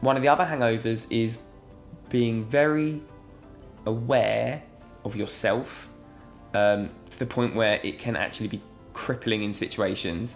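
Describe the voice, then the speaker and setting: Over music in the background, a man with a British accent talks at a fairly slow pace in a medium pitch, with long, frequent pauses. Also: ordinary pitch variation. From England. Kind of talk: casual talk to camera. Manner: earnest, reflective.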